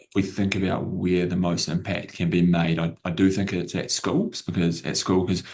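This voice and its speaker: A man with a New Zealand accent speaks at a fairly quick pace. His pitch is very deep and low, and his intonation is fairly even. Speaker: edtech company CEO. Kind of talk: panel discussion.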